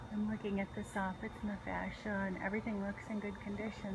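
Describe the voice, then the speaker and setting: A quiet voice with monotone, flat intonation moves at a fairly quick pace, with audible room echo and noticeable background noise. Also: woman. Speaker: real estate agent. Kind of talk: narrated property video tour. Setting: in a car, then walking outdoors. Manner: casual, conversational; quiet, hushed.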